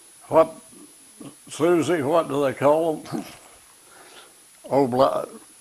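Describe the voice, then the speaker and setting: Noticeable background noise sits behind a man speaking very slowly with an American accent. His voice is fairly high-pitched, with fairly even intonation. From US Midwest (southeast Missouri). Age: 80s+. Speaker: war veteran. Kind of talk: interview. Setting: at home. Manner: halting.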